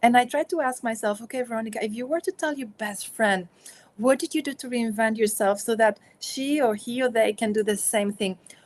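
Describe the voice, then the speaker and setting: A woman in a Spanish accent, fairly quick pace, ordinary pitch variation. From Spain. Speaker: author and consultant. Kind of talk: interview.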